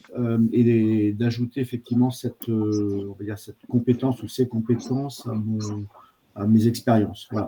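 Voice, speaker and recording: A man talks at a moderate pace in a medium pitch, somewhat breathy, with monotone, flat intonation. His loudness swings widely. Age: 60s. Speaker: trainee. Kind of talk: self-introduction. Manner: hesitant, many fillers.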